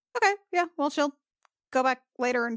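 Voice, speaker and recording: Heard in a dry, close sound with no echo, a woman talks at a fairly quick pace in an unremarkable speaking voice. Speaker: tabletop RPG player. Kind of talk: casual chat, roleplaying game.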